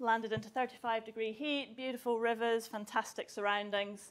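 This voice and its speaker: A woman with a Scottish accent speaks at a fairly quick pace. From southwest Scotland. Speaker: university chemistry researcher. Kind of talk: public talk to school students.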